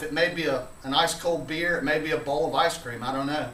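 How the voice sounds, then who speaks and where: Through audible room echo and noticeable background noise, a man speaks at a fairly quick pace. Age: middle-aged. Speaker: video blogger. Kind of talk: casual vlog monologue. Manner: frequent filler uh.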